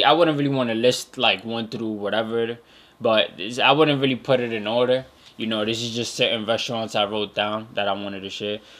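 Ordinary pitch variation marks a man's bright, sharp tone. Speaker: podcast host. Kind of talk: casual podcast monologue. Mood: relaxed, enthusiastic. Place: home room. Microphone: studio mic.

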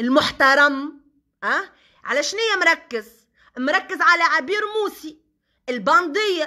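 In a Tunisian accent, a woman speaks high, bright and sharp in a raised, projected voice, her tone animated and her intonation lively. She keeps a fairly slow pace with long, frequent pauses. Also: quiet background. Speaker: social media personality; social media commentator. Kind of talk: live stream monologue. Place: home room. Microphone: phone near.

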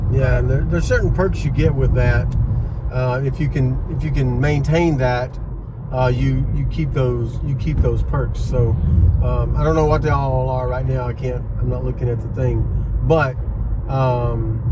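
A man at a moderate pace, over loud background noise. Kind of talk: casual vlog chat. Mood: relaxed, pleased. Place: car. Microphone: camera far.

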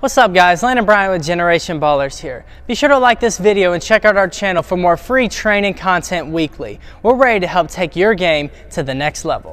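A man's fairly quick speech with lively intonation. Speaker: basketball trainer. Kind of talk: tutorial.

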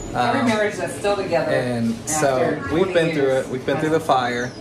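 A man speaks at a fairly quick pace. Loud background noise runs underneath him. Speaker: family vlogger. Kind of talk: casual vlog chat. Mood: warm, encouraging. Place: kitchen. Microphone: phone near.

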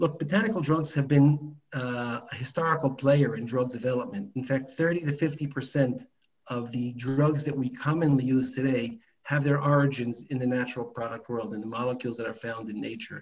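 This man talks at a moderate pace and sounds somewhat breathy. His pitch varies in an ordinary way. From New York. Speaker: biotech founder and dentist. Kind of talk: business presentation. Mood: calm, explanatory. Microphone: video call.

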